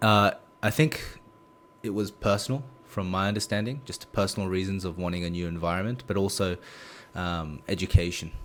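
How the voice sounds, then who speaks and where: A man with a very deep, low pitch and an Australian accent, ordinary pitch variation, a fairly quick pace, and long, frequent pauses. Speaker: esports coach. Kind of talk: interview. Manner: halting.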